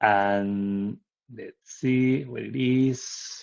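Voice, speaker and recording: A man with a Spanish accent and ordinary pitch variation. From Spain. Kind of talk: conference presentation. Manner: halting with repetitions.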